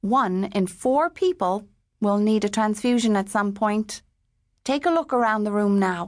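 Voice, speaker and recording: A woman with an Irish accent speaks in a tearful tone at a fairly slow pace, with a fairly high pitch and ordinary pitch variation. Her loudness stays very even against a quiet background. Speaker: audiobook narrator. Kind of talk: audiobook narration of a novel, first-person emotional passages then classroom scene.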